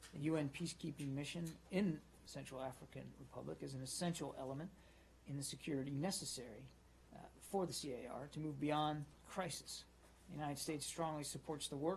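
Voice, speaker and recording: Over light background noise, a man speaks at a fairly quick pace in a somewhat breathy voice with ordinary pitch variation. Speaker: government spokesperson. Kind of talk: official press statement. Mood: formal, measured. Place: hall. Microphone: podium.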